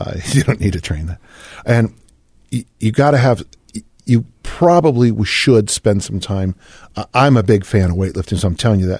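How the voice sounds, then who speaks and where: A man talks at a moderate pace, his voice somewhat breathy. His intonation is lively, broken by long, frequent pauses. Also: fairly low pitch for a man, quiet background. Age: 60s. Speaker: strength coach and fitness author. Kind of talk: casual interview.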